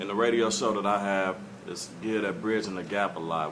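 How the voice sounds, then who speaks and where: A man's fairly quick speech with audible room echo and noticeable background noise. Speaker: radio host. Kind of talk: audience question. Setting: studio with audience. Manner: loud.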